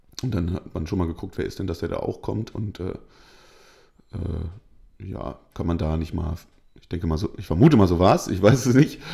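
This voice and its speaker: Somewhat breathy and dark, mellow in tone, the voice moves with lively intonation through long, frequent pauses. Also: man, very deep, low pitch for a man, moderate pace. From northern Germany, Hanover region. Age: 20s. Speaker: football referee. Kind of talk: interview.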